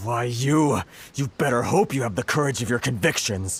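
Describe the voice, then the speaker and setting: A man does a put-on character voice with a growl. His pitch is medium and his pace moderate. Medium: video game. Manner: flustered, sighing.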